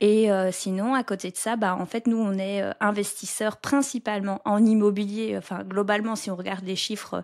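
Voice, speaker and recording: The recording is very clean, with a silent background. Delivery is monotone and flat at a moderate pace, with hardly any pauses. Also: woman, medium pitch for a woman. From southern Belgium (near French border). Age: 30s. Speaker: podcaster and real estate investor. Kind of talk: interview conversation.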